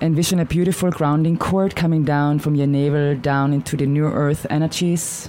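Over noticeable background noise, a woman with a very deep, low pitch speaks at a moderate pace in a flat monotone, with very even loudness and hardly any pauses. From Austria. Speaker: shaman and author. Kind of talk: radio interview.

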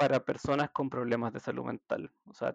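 Over a quiet background, a man talks at a medium pitch with ordinary pitch variation, the sound dry and close with no echo. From Chile, Santiago. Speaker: healthcare worker, social care worker. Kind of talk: casual interview.

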